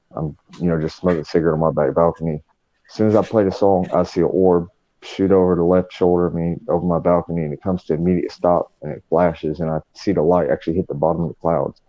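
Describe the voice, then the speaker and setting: With a strong Southern US accent, a man talks at a very fast pace in a very deep, low pitch and a monotone, flat intonation. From North Carolina. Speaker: paranormal investigator. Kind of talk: casual chat. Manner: hesitant, many fillers.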